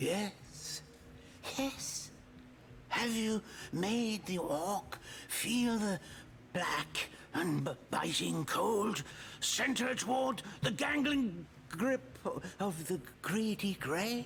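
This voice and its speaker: A man uses a put-on character voice, high-pitched, at a very slow pace with long, frequent pauses. Clear background noise is present. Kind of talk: theatrical fantasy villain. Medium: video game. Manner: archaic, grandiose, unhinged.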